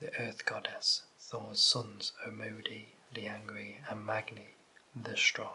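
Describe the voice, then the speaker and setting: Soft-spoken and gentle in tone, the voice moves at a very slow pace over noticeable background noise. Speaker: ASMR content creator. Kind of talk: audiobook-style reading of mythology text. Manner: soft-spoken, gentle.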